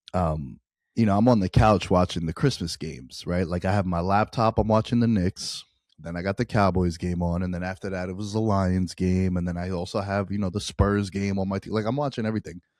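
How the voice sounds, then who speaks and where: With an American accent, a man with a very deep, low pitch speaks at a fairly quick pace in a dry, close sound with no echo, in a very clean recording with a silent background. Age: 30s. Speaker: sports betting podcast host. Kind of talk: casual chat. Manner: animated.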